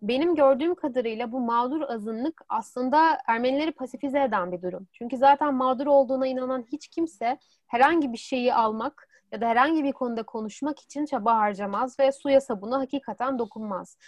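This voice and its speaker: A high-pitched woman at a fairly quick pace with hardly any pauses. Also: ordinary pitch variation. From Turkey, Istanbul. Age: 20s. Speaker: student. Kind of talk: interview.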